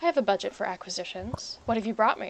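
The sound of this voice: A woman uses a put-on character voice, breathy and fairly high-pitched. She talks very fast with lively intonation.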